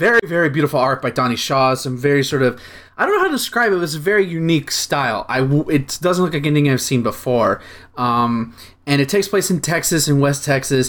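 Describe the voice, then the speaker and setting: Speaking at a very fast pace, a man keeps his loudness very even and his pitch variation ordinary, in a very clean recording with a silent background. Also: fairly high pitch for a man. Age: 20s. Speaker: comics podcast co-host. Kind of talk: casual chat.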